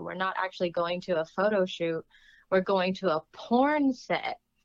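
A woman at a fairly slow pace, with very wide pitch swings. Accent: American. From US West Coast (California and Oregon). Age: 20s. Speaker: adult film actress. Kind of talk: casual interview chat.

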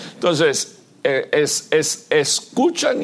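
Noticeable background noise runs beneath a man who talks very slowly. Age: 60s. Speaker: visiting pastor preaching. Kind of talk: sermon.

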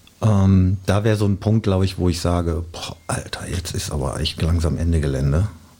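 A man talks at a moderate pace with a very deep, low pitch, ordinary pitch variation and hardly any pauses. Noticeable background noise sits behind him. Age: 50s. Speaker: DJ. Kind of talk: casual chat.

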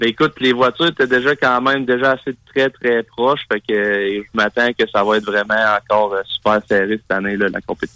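Speaking at a moderate pace with hardly any pauses, the voice has fairly even intonation and a bright, sharp tone in a dry, close sound with no echo. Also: man, medium pitch for a man. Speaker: race car driver. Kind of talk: casual chat.

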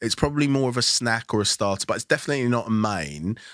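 A man with a London accent speaks in a bright, sharp tone, the sound dry and close with no echo. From London, Nigerian background. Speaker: food critic and author. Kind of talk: casual chat. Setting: studio.

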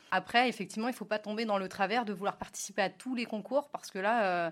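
This woman has a plain, everyday voice at medium pitch, speaking at a fairly quick pace. Her intonation stays fairly even, and the recording is very clean with a silent background. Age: 30s. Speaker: app co-founder. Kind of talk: interview.

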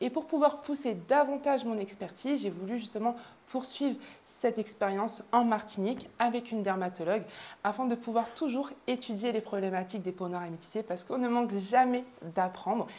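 At a fairly quick pace, a woman speaks with a fairly high pitch, a dark, mellow tone and ordinary pitch variation. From southern France. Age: 20s. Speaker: pharmacist and show host. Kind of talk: show introduction monologue.

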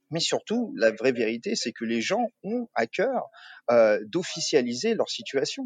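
In a dry, close sound with no echo, a man speaks at a very slow pace and a high pitch, his pitch swinging very widely. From Paris suburbs, France. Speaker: co-founder of a coworking business. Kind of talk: interview. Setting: remote call from a coworking terrace. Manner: halting, many fillers and repetitions.

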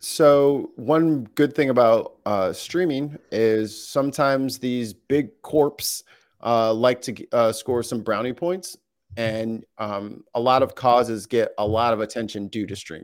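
In a very clean recording with a silent background, a man with an American accent has an unremarkable speaking voice, medium in pitch with ordinary pitch variation, at a fairly slow pace. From US Midwest, St. Louis. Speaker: streamer and audio producer. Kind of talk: casual interview chat. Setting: live stream.

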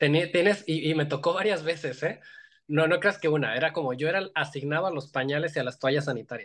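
With a Mexican accent, a man speaks fairly quickly at a fairly high pitch and with ordinary pitch variation. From Mexico, Iguala, Guerrero. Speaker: visual effects animator. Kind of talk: interview.

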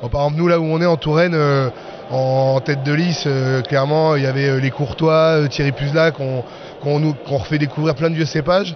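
Over noticeable background noise, a man with a fairly high pitch talks at a fairly quick pace with fairly even intonation. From France. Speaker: winegrower. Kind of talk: casual interview.

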